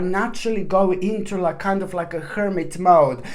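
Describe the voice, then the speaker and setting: A woman speaks at a medium pitch with ordinary pitch variation. Audible room echo and noticeable background noise fill the recording. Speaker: tarot reader. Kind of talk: tarot reading monologue. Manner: fast; jumps between topics, many fillers.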